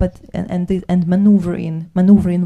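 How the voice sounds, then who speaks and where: A woman with a Ukrainian accent speaks in a dark, mellow, somewhat breathy tone, fairly low in pitch and monotone, flat in intonation. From Ukraine. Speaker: soldier and poet. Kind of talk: panel talk. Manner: halting.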